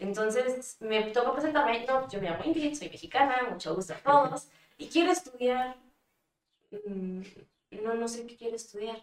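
Using a plain, everyday voice, a woman speaks fairly slowly at a fairly high pitch with lively intonation and big swings in loudness. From Mexico. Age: 20s. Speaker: dancer and model. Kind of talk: casual interview.

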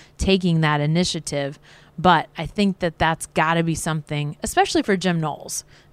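In a very clean recording with a silent background, a woman with an ordinary speaking voice talks at a moderate pace in a fairly low pitch, using fairly even intonation. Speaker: sports beat writer. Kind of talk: post-game sports analysis chat.

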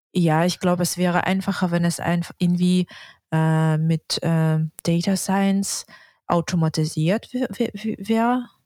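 A woman's very slow speech in a Russian accent, fairly low in pitch with ordinary pitch variation, dark and mellow in tone, at very even loudness, with a dry, close sound with no echo on a very clean recording with a silent background. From Yakutsk, Russia. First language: Russian (speaking German). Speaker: urban planning student. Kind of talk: interview. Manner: halting.

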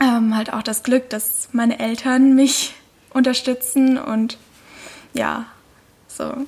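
Amid noticeable background noise, a woman speaks at a very slow pace in a high pitch, with monotone, flat intonation and long, frequent pauses. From Lake Constance region, southern Germany. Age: 20s. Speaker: intern, media student. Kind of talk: casual chat.

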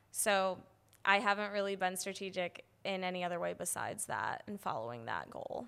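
A woman with an American accent speaks at medium pitch and a moderate pace, her tone bright and sharp and her intonation lively. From Midwest US, Madison, Wisconsin. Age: 20s. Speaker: data analyst and podcast host. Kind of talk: casual chat.

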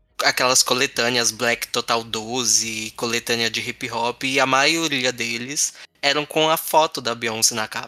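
A man speaks rather slowly with music playing in the background. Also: dry, close sound with no echo. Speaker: podcast host. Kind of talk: casual chat.

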